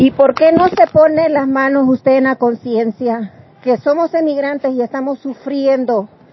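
A woman talks very slowly at a high pitch. Noticeable background noise can be heard. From El Salvador. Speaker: migrant. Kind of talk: testimony.

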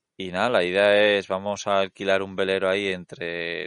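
A man's voice, dry and close with no echo. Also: quiet background. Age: 30s. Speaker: travel podcast co-host. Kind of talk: casual chat.

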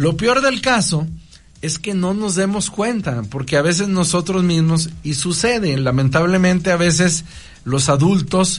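Audible room echo surrounds a man talking at a fairly slow pace, his pitch high and his intonation lively. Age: 40s. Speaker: priest. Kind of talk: radio interview talk. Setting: radio studio. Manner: halting, frequent repetitions.

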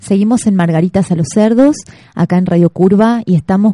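The voice is somewhat breathy with a dark, mellow tone. Its pitch varies an ordinary amount. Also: woman. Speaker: radio host. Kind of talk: casual radio chat. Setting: radio studio.

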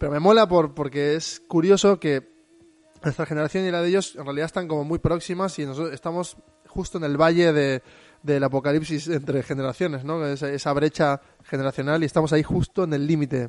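A man's fairly high voice, a normal speaking voice, fairly quick with fairly even intonation. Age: 30s. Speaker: podcast host. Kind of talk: casual chat.

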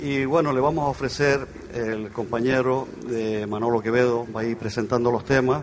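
The speech moves at a moderate pace with fairly even intonation, set against audible room echo and noticeable background noise. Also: man, medium pitch for a man. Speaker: folk group leader and singer. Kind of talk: live concert stage announcements. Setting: outdoor stage in a town square with audience.

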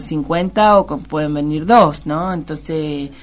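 A woman's very deep, low voice at a very slow pace, with ordinary pitch variation. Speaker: health worker. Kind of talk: radio interview.

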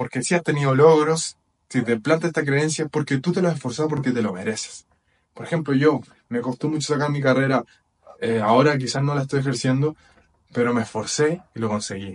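A man's fairly high voice, a plain, everyday voice with ordinary pitch variation. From Chile. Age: 20s. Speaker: personal development podcaster. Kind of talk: motivational talk. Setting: video recording with whiteboard.

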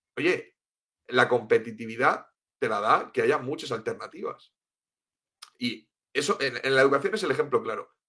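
Long, frequent pauses break up a man's speech, which otherwise runs at a moderate pace. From Spain, Cartagena (Murcia). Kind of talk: interview. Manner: halting, with many repetitions.

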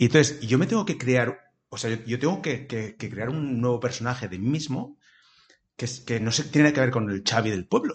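Somewhat breathy delivery at a moderate pace with ordinary pitch variation. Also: man, medium pitch for a man. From Valencia region, Spain (small town). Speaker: comedian. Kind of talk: casual interview chat. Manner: halting, many repetitions.

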